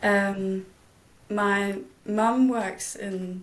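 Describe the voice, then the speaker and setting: A woman speaks in a Danish accent at medium pitch. Audible room echo is present. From Denmark, village. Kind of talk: interview. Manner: hesitant.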